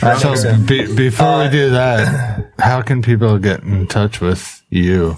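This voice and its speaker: A man with a fairly low voice talks very slowly, with hardly any pauses, ordinary pitch variation and very even loudness. Music plays in the background. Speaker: podcast co-host.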